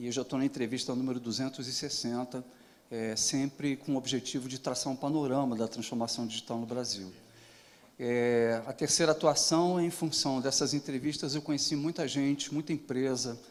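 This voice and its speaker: A man speaks at a medium pitch with fairly even intonation. His pace is moderate. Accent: southern Brazilian. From southern Brazil (Rio Grande do Sul). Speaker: digital transformation consultant and interviewer. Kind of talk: panel moderation at event.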